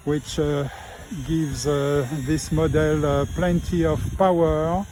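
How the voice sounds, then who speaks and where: Over noticeable background noise, someone with a French accent speaks at a very slow pace. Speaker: RC model pilot. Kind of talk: live commentary. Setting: outdoors. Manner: halting.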